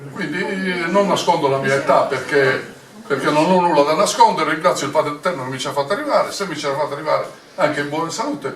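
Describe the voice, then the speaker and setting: A man with a fairly high pitch at a very fast pace, with ordinary pitch variation, audible room echo and noticeable background noise. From Sardinia. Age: 80s+. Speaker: retired military officer and party regional coordinator. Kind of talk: political speech at meeting. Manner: halting, many fillers.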